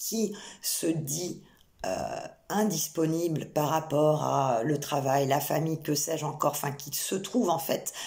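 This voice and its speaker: Her voice is very deep and low, and somewhat breathy. This woman shows ordinary pitch variation. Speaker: psychic medium. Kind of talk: channelled tarot reading. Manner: hesitant, many fillers.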